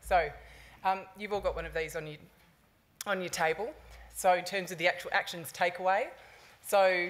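A woman's fairly low voice with an Australian accent. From Sydney, Australia. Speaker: sports community engagement manager; conference presenter. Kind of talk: conference talk. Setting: conference stage with audience. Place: hall. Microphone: podium.

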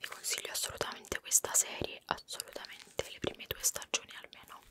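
A soft-spoken woman's whisper over noticeable background noise. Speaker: video creator. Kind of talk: casual vlog chat. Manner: soft close-mic ASMR whisper.

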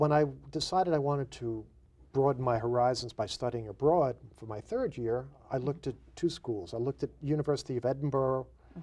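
A man's dark, mellow, somewhat breathy voice with ordinary pitch variation. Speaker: guest. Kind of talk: interview answer. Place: studio. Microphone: lapel.

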